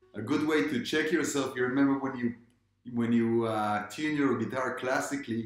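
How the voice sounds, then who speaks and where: A man talks with ordinary pitch variation. Faint music plays in the background, and room echo is audible. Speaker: guitar teacher. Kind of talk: tutorial. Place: home room. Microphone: camera far.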